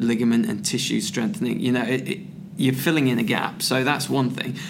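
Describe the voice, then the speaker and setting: A man with an English accent speaks at medium pitch. There is noticeable background noise and audible room echo. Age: 40s. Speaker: strength and conditioning coach. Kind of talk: casual chat. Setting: conference venue.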